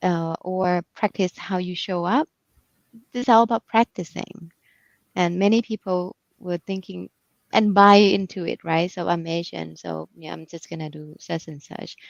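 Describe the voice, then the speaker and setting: A woman's fairly low voice with a Thai accent, ordinary pitch variation, moderate pace, big swings in loudness, and a dry, close sound with no echo. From Thailand. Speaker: executive coach. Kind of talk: interview. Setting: livestream.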